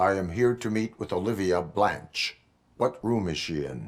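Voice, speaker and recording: Over a very clean recording with a silent background, a man uses a put-on character voice that is very deep and low. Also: moderate pace. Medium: video game. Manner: formal, measured, no contractions.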